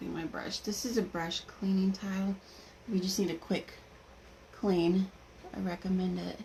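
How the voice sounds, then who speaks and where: A woman speaks at a medium pitch in a somewhat breathy, dark, mellow tone. Her delivery is flat and monotone at a moderate pace, broken by long, frequent pauses. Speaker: makeup seller doing live demo. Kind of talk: live makeup tutorial.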